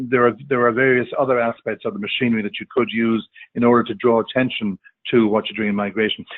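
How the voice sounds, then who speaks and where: Talking at a very fast pace, a man with an Irish accent has a medium pitch and ordinary pitch variation. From Ireland. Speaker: diplomat, webinar panelist. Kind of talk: panel discussion. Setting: online webinar call. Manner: halting, many fillers and repetitions.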